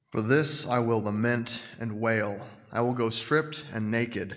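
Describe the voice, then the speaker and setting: Using a normal speaking voice, a man talks at medium pitch with fairly even intonation. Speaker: scripture reader. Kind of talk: reading aloud. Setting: church.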